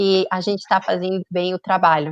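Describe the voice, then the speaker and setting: This woman's voice sits at a medium pitch. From Colombia. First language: Spanish (speaking Portuguese). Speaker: tourism promotion representative. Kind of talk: webinar panel discussion.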